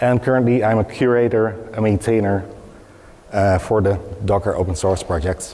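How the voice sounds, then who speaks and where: A man speaks in a plain, everyday voice with a fairly low pitch. His pace is moderate, his intonation fairly even and his loudness very even. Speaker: open source project maintainer; conference presenter. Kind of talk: conference presentation. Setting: stage with audience. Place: hall.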